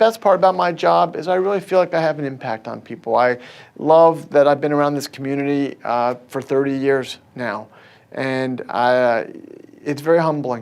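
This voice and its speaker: A man with an American accent talks at a moderate pace in an ordinary speaking voice, fairly high in pitch. His intonation is lively, and the background is quiet. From US, Baltimore, Maryland. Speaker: neurosurgeon. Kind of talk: interview monologue.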